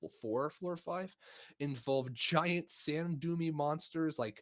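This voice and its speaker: A man speaks with a Midwestern accent. The recording is very clean, with a silent background. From US Midwest (Missouri). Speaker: podcast host. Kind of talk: casual chat.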